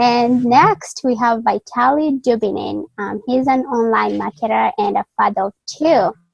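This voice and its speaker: A woman with a Kenyan accent at a fairly slow pace, in a dry, close sound with no echo. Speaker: college student and online interviewer. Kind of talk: interview. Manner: halting, many fillers.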